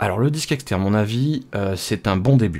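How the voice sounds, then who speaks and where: His voice is fairly low in pitch. The man speaks at a moderate pace with lively intonation. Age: 30s. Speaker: home computer technician. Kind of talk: tutorial. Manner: hesitant, many filler sounds; casual, unscripted. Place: home room. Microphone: studio mic.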